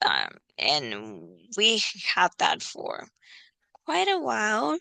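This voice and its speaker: With a non-native accent, a woman speaks at a very slow pace. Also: dry, close sound with no echo, quiet background. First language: not English. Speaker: reality TV commentator. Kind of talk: casual recap monologue. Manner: hesitant, many fillers.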